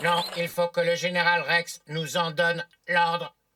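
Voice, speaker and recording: A cartoonish character voice at a middle pitch speaks at a moderate pace. Its intonation is monotone and flat. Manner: flat, literal.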